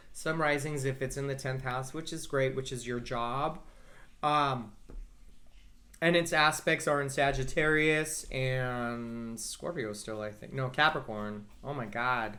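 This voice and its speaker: Fairly slow delivery with ordinary pitch variation, a bright, sharp tone and audible room echo. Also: man, medium pitch for a man. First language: Spanish. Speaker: astrologer. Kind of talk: casual chat. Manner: animated.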